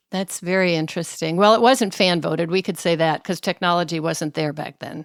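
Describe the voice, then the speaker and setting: The voice has a normal speaking voice, coming from a woman pitched fairly low. Her pitch varies in an ordinary way, and the sound is dry and close with no echo. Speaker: interviewer. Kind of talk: interview question.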